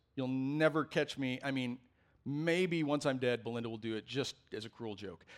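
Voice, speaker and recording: A man talks at a moderate pace in a normal speaking voice, pitched in the medium range. His pitch varies in an ordinary way, and the recording is very clean with a silent background. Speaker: pastor. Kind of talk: sermon. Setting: church.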